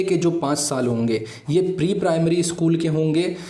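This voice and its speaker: A man with a Gujarati accent speaks in a fairly high pitch with ordinary pitch variation, amid audible room echo and noticeable background noise. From Gujarat, India. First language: Gujarati (speaking Hindi). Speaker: exam-prep YouTube teacher. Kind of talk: educational explainer.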